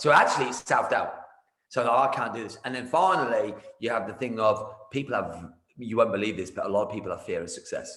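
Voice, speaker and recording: Loud and energetic in tone, a man speaks. His pace is very fast. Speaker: martial arts business coach. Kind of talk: casual interview. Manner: loud, energetic.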